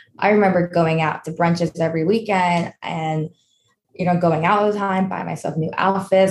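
Fairly even intonation and a moderate pace, in a New York accent. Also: woman. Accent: American, New York. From New York, US. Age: 20s. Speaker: personal finance influencer. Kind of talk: casual interview.

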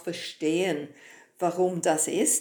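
Her voice has a dark, mellow tone. This woman's pitch sits fairly low. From Britain. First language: English (speaking German). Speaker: horse trainer and behaviour researcher. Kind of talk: podcast interview, explanatory. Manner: hesitant non-native German.

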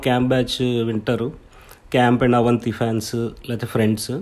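The man speaks at a medium pitch. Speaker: independent filmmaker and podcaster. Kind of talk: casual solo monologue. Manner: halting, searching for words; shaky voice.

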